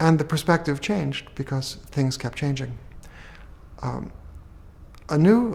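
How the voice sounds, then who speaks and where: With an American accent, a man with a fairly high, somewhat breathy voice talks at a fairly slow pace with ordinary pitch variation and long, frequent pauses. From United States. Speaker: theoretical physicist. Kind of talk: interview answer.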